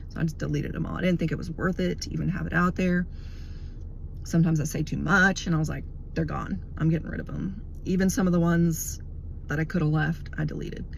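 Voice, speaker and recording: A woman rushes along at a very fast pace as audible room echo trails her words. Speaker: religious video blogger. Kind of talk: casual monologue.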